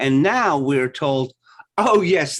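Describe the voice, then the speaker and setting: This man speaks at a very slow pace, his voice fairly high in pitch. There is vocal fry in his delivery. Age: 60s. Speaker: YouTube streamer. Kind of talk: casual chat.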